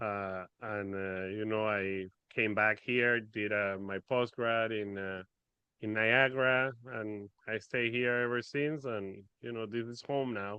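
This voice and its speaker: In a Spanish accent, a man speaks very slowly at a fairly low pitch with fairly even intonation. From Venezuela. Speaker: finance expert. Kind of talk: podcast interview.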